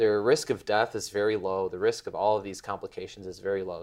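Captured in a very clean recording with a silent background, a man with an American accent speaks at a fairly quick pace. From Chicago, US. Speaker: medical fellow. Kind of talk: interview storytelling.

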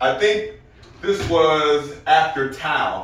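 An animated man with a fairly high pitch, plus audible room echo. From Arkansas. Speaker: comedian and military veteran. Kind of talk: casual chat.

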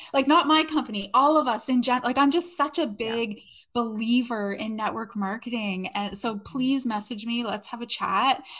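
A woman with a Canadian accent talks in a normal speaking voice, fairly high in pitch, at a moderate pace with hardly any pauses and ordinary pitch variation. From Canada. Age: 40s. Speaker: network marketer and former salon owner. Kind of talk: casual interview chat.

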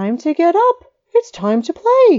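A woman puts on a squeaky character voice at an extremely high pitch, with very wide pitch swings. Her tone is excited, and her pace is fairly slow. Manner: eager, excited.

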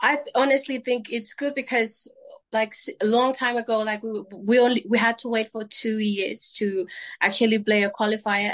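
A Vanuatu accent at a moderate pace over a quiet background. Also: woman. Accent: Vanuatu (Melanesian) English. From Vanuatu, Tanna island. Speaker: cricket captain. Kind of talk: interview.

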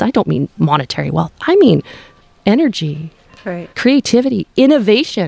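A fairly high-pitched woman's voice with a Canadian accent at a moderate pace. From Powell River, British Columbia, Canada. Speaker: city council candidate. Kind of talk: interview.

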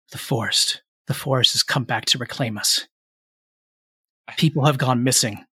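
A man uses a put-on character voice at a medium pitch. He keeps a moderate pace with long, frequent pauses.

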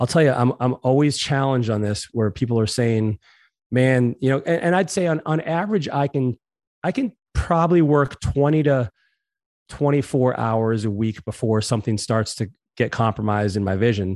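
In a dry, close sound with no echo and a quiet background, a man with an American accent speaks at a moderate pace with lively intonation in an unremarkable speaking voice. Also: medium pitch for a man, very even loudness. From Massachusetts, US. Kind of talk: interview. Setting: home living room.

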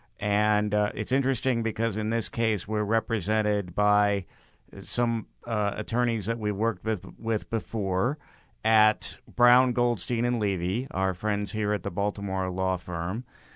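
A fairly low-pitched man's voice, a normal speaking voice, at a fairly slow pace with fairly even intonation, over a quiet background. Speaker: news reporter. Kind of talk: news reading.

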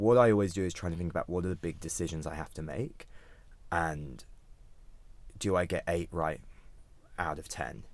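A man with a British accent speaks at a very deep, low pitch with ordinary pitch variation. His pace is moderate, broken by long, frequent pauses. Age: 30s. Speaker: startup founder and CEO. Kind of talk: interview.

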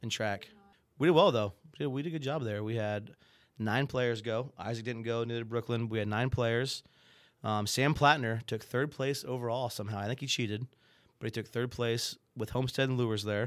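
In a very clean recording with a silent background, a man with an American accent and a normal speaking voice talks at a fairly quick pace, medium pitch and fairly even intonation. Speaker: chess coach and teacher. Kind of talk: casual chat.

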